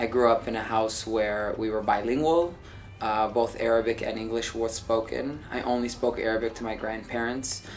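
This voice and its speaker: With an American accent, a man speaks at medium pitch and a moderate pace, his intonation fairly even, over noticeable background noise. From US Midwest, Dearborn, Michigan. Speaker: TV producer. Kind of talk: documentary interview.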